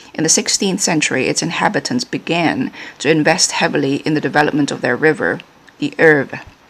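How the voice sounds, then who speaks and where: A woman's very deep, low voice with lively intonation against noticeable background noise. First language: not English. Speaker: playing card reviewer. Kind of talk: product review with reading aloud. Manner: halting, many fillers.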